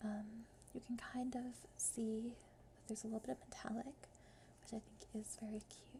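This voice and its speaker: A soft-spoken voice goes at a moderate pace amid noticeable background noise. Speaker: ASMR creator. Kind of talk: ASMR casual talk.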